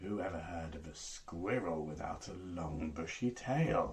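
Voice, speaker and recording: A man puts on a character voice, pitched very deep and low, and talks at a fairly slow pace. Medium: read story.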